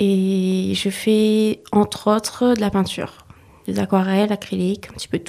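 Her tone dark and mellow, a woman speaks at a fairly slow pace in a medium pitch with monotone, flat intonation. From mainland France. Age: 20s. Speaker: artist and painter. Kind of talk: interview.

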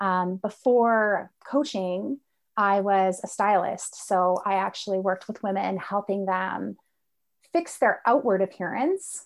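In a very clean recording with a silent background, a woman speaks in a normal speaking voice at medium pitch, with ordinary pitch variation and a fairly slow pace. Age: 40s. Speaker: life coach. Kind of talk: interview conversation.

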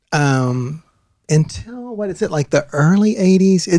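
A man's high-pitched voice, lively in intonation, at a fairly slow pace. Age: 50s. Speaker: university administrator. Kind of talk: interview. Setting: studio.

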